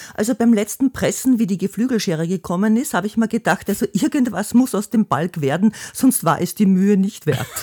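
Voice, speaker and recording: A woman speaks fairly quickly at a medium pitch, her somewhat breathy voice dark and mellow in tone, with lively intonation and a dry, close sound with no echo. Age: 60s. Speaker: host's mother, retiree. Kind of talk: casual interview. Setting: family home.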